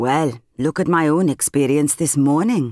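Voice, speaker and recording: Captured in a very clean recording with a silent background and a dry, close sound with no echo, a woman speaks with a very deep, low pitch and a dark, mellow tone. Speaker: audiobook narrator. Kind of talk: audiobook reading.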